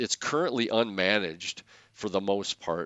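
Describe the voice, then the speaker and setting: Lively in intonation, a man with an Upper Midwest accent speaks at a moderate pace. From Wisconsin. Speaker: soil scientist. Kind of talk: casual interview.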